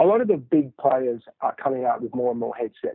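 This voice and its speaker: A man with an Australian accent talks at a fairly quick clip. His pitch is medium and its variation ordinary. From Australia, Sydney. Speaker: entrepreneur, founder of a golf training company. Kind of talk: interview. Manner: hesitant, many fillers.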